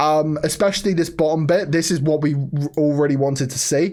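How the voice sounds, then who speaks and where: A quiet man's fairly high-pitched voice at a fairly quick pace. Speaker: stock market youtuber. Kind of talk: stock analysis commentary. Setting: at home, family member asleep upstairs. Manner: kept quiet, voice lowered.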